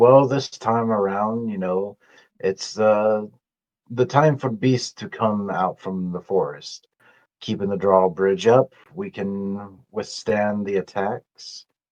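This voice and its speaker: Against a quiet background, a man puts on a gruff character voice, fairly low in pitch, with ordinary pitch variation and a fairly slow pace. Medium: actual play.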